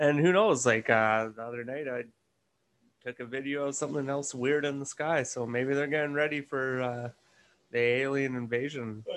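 Against a quiet background, a man uses a plain, everyday voice at a moderate pace with fairly even intonation. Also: medium pitch for a man. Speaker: guest. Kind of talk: casual chat.

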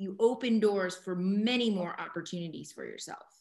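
Fairly slow and medium in pitch, this woman's voice is an ordinary speaking voice. She speaks with ordinary pitch variation. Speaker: podcast host and mentor. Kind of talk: interview with student group.

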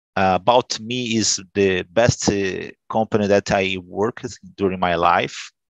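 With a Brazilian accent, a man speaks very slowly at a fairly low pitch and with fairly even intonation, his voice dry and close with no echo. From Brazil, São Paulo State coast. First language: Portuguese. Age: 40s. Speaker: telecom worker, language student. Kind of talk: group English conversation practice. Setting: video call.

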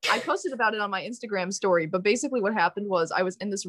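This woman has an unremarkable speaking voice at medium pitch with ordinary pitch variation. The recording is very clean and dry, close with no echo, over a silent background. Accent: American. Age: young. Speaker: music student. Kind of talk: casual chat.

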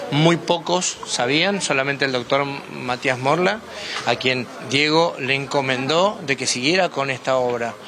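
A man speaks with a fairly high pitch and ordinary variation. Noticeable background noise can be heard. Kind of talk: interview.

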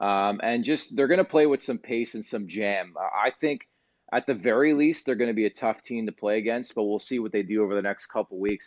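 Very fast speech from a man, fairly low in pitch with ordinary pitch variation. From Canada, Montreal. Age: 30s. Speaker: sports radio host. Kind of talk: casual sports talk.

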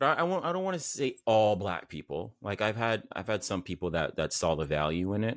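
Over a silent background in a very clean recording, a man with a fairly low pitch talks at a fairly quick pace with very wide pitch swings. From Canada, Saint Vincent family. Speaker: entrepreneur, mental health brand founder. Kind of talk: casual interview chat.

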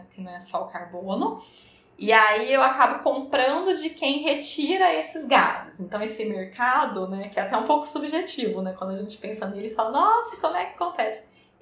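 Amid audible room echo and noticeable background noise, a woman speaks with very wide pitch swings and big swings in loudness. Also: fairly quick pace. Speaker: food engineer. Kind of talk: interview.

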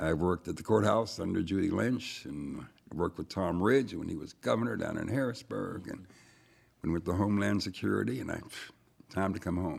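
A man with an American accent speaks at a very deep, low pitch with vocal fry. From Erie, Pennsylvania. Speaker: retired city official. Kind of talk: studio discussion. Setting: studio.

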